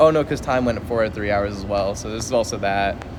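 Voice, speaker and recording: Amid noticeable background noise and audible room echo, a man talks very fast at a medium pitch with ordinary pitch variation. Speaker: streamer. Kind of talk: casual chat. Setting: airport.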